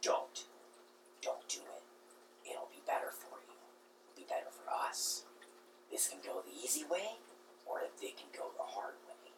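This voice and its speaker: Using a put-on character voice, a man speaks at an extremely high pitch with a raspy sound and a moderate pace, leaving long, frequent pauses over light background noise. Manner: coaxing, menacing.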